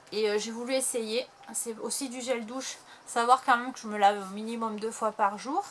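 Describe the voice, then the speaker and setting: A woman at a fairly high pitch and moderate pace, with noticeable background noise. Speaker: YouTuber. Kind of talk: haul video. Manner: hesitant.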